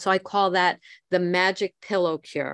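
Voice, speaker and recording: A woman with a normal speaking voice talks at a medium pitch and a fairly slow pace. The sound is dry and close, with no echo. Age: 60s. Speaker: twelve-step recovery meeting leader. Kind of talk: recovery meeting talk reading from a book.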